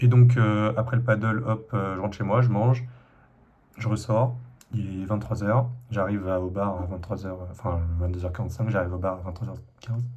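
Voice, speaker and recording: Audible room echo surrounds a man's somewhat breathy, fairly low voice as he talks at a fairly quick pace with ordinary pitch variation. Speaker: vlogger. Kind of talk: casual vlog monologue. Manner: hesitant, many fillers.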